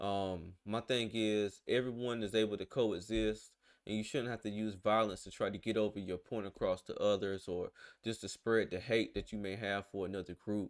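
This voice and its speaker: Recorded very cleanly against a silent background, a man speaks at a fairly low pitch with a Southern US accent. His delivery is monotone and flat at a moderate pace. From US South. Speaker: reaction video creator. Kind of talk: casual commentary. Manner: hesitant, filler-heavy.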